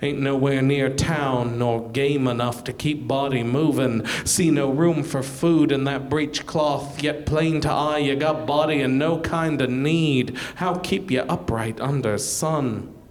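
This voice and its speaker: Using a put-on character voice, a man speaks gravelly and at a fairly high pitch, at a fairly slow pace with hardly any pauses and very even loudness. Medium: read story. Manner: dialect speech, terse.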